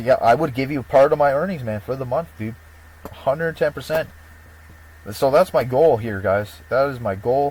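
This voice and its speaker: Speaking at a moderate pace, a man uses a medium pitch with ordinary pitch variation. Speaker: YouTuber promoting prediction software. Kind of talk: casual vlog monologue. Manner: halting, rambling delivery.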